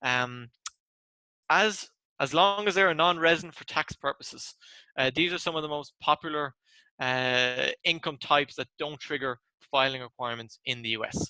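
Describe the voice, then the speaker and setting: A man with an Irish accent at a moderate pace, fairly high in pitch and bright, sharp in tone, with ordinary pitch variation, long, frequent pauses and a dry, close sound with no echo. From Ireland. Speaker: tax presenter. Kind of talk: webinar presentation.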